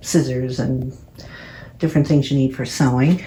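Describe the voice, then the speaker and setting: Ordinary pitch variation in a woman's dark, mellow, somewhat breathy voice. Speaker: artist. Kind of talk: casual home tour narration. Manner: soft-spoken.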